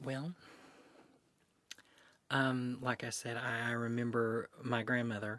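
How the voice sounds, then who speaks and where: In an Appalachian accent, a man talks at a fairly slow pace with a medium pitch and a bright, sharp tone, on a very clean recording with a silent background. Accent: Appalachian Southern American. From Eastern Kentucky, Appalachia. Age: 20s. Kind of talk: oral history interview answer.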